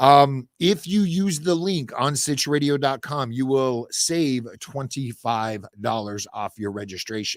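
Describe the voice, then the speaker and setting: A man with a plain, everyday voice and medium pitch speaks with hardly any pauses. The recording is very clean, with a silent background. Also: lively intonation, fairly slow pace. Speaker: podcast network founder and host. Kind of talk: weekly update monologue. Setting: podcast studio.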